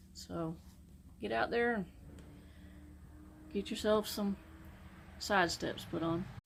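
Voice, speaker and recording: In a relaxed tone, a woman speaks at a very slow pace with long, frequent pauses. Her pitch is fairly low, with very wide pitch swings. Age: 60s. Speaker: aircraft mechanic and DIY car vlogger. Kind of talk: tutorial. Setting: outdoors. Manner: casual, relaxed.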